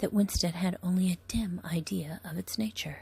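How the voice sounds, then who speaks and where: A woman with a fairly low voice talks at a moderate pace, somewhat breathy, with ordinary pitch variation. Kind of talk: ASMR book reading. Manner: whispered, soft-spoken.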